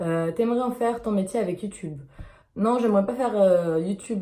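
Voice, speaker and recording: A woman speaks at a fairly quick pace with a dark, mellow tone. Her voice is somewhat breathy, with ordinary pitch variation. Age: 20s. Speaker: YouTuber. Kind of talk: casual Q&A vlog. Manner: hesitant, many fillers.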